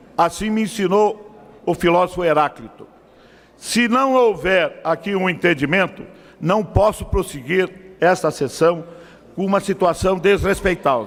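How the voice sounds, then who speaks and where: A man's high-pitched voice with ordinary pitch variation, a fairly slow pace, and long, frequent pauses. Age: 70s. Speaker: politician chairing a session. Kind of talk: chairing a heated session. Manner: emphatic.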